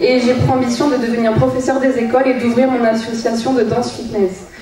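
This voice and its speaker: A woman speaks at a moderate pace with fairly high pitch. Noticeable background noise and audible room echo are present. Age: 20s. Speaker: beauty pageant contestant. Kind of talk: prepared speech on stage. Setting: stage with audience.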